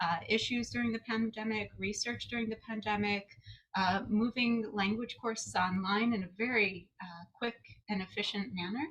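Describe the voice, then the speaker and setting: The speech moves at a moderate pace with fairly even intonation. It carries an American accent. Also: woman, fairly high pitch for a woman. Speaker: psychologist and associate director. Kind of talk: conference presentation. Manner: halting, many fillers.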